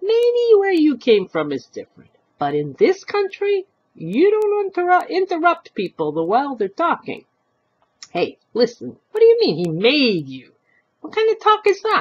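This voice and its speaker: In a put-on character voice, a female-sounding speaker goes extremely high in pitch. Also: moderate pace. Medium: read story.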